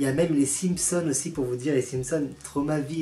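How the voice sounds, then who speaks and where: At a very fast pace, a man speaks. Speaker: YouTuber. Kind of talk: casual vlog ranking.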